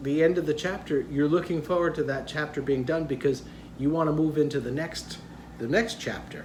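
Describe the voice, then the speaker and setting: A man's fairly high voice, with audible room echo. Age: 60s. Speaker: vlogger. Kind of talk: casual vlog talk. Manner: conversational, hesitant fillers.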